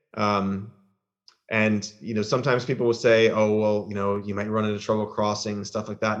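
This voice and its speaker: In an American accent, a man talks at a fairly low pitch. Nothing much is heard behind him. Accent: American, slight nasal tone. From US South. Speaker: political party member living in Northern Ireland. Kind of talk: casual chat.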